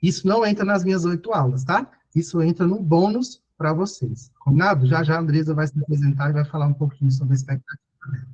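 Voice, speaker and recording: Pitch shifts in an ordinary way through talk delivered at a very fast pace. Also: man, fairly high pitch for a man. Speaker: teacher for public exam preparation. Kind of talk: online lecture. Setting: live video call class.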